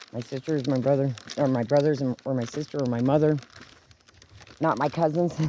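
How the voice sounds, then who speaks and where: The talk runs at a fairly quick pace, broken by long, frequent pauses, over noticeable background noise. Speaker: video blogger. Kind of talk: casual vlog monologue. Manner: halting.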